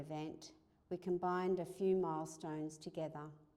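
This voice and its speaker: In an Australian accent, a woman speaks at a moderate pace with a fairly low pitch, a dark, mellow tone and fairly even intonation. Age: 70s. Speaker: institute founder and chair. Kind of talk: speech at an anniversary event.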